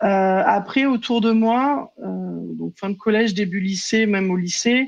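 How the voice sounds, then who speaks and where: A woman is speaking. The background is quiet. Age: 30s. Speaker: prevention and training officer. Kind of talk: casual chat.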